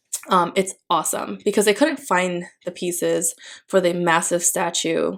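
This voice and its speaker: A woman's fairly low pitch with vocal fry and ordinary pitch variation. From Philippines. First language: Tagalog. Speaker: planner vlogger. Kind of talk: casual chat. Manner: hesitant, many fillers.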